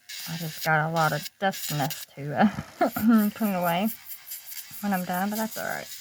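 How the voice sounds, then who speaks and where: Delivered at a moderate pace with ordinary pitch variation, the speech has long, frequent pauses and noticeable background noise. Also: woman, medium pitch for a woman. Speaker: nail art youtuber. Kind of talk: tutorial. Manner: casual, hesitant with fillers.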